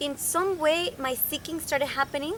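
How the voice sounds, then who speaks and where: A woman speaks with a Spanish accent. Her tone is bright and sharp. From Venezuela (Caracas). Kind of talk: interview. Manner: halting, many fillers.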